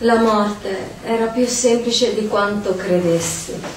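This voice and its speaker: A woman speaks very slowly with fairly even intonation, and noticeable background noise can be heard. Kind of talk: poetry reading. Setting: stage with audience.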